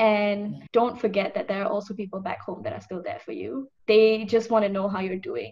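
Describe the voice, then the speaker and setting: A woman's somewhat breathy, fairly high voice at a moderate pace, with ordinary pitch variation, hardly any pauses and big swings in loudness. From Malaysia. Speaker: psychology student. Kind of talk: casual chat. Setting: video call.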